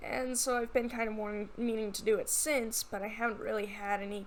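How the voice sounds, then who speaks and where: Noticeable background noise and audible room echo accompany the woman as she talks. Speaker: digital artist. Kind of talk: casual voiceover commentary. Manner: halting, many filler ums.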